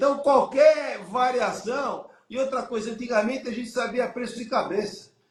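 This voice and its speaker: A man talks at a moderate pace in an extremely high pitch. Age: 60s. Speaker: business consultant. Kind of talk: live stream business discussion. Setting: live stream.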